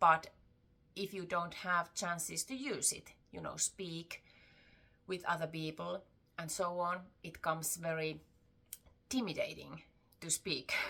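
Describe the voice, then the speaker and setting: Speaking at a fairly slow pace with long, frequent pauses, a woman uses a bright, sharp tone and ordinary pitch variation. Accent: Finnish. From Finland, Tampere. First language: Finnish. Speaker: crochet vlogger. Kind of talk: casual vlog talk. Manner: halting, with fillers.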